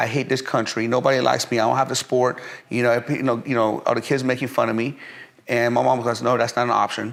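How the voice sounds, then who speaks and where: At a very fast pace, a man speaks at medium pitch with vocal fry and very even loudness. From Iran, then Pennsylvania from age eleven. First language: Persian. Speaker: entrepreneur, fitness company CEO. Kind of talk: interview storytelling. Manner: animated, many fillers and repetitions.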